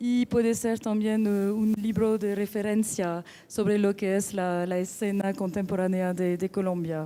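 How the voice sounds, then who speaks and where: With a strong non-native accent, a woman speaks at a fairly slow pace with ordinary pitch variation, and noticeable background noise is present. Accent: strong foreign accent in Spanish. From France. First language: French (speaking Spanish). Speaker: book editor and art collector. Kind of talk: panel talk at book launch. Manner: halting, many fillers.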